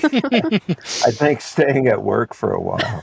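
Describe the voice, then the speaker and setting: Very slow speech from a man amid noticeable background noise. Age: 60s. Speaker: physician, pulmonary expert. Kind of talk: podcast interview. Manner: hesitant, many fillers.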